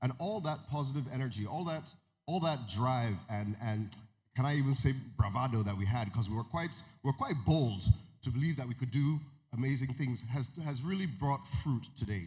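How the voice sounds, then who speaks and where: Audible room echo surrounds a man with an American accent whose somewhat breathy, medium-pitched voice moves at a moderate pace with lively intonation. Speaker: music media executive. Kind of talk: keynote speech. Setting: stage with audience. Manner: halting, many fillers.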